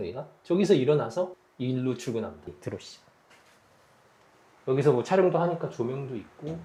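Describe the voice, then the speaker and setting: Speaking at a fairly quick pace and medium pitch, a man makes very wide pitch swings and big swings in loudness, with long, frequent pauses. Noticeable background noise runs behind him. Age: 40s. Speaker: YouTuber and YouTube consultant. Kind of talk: interview. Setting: home studio.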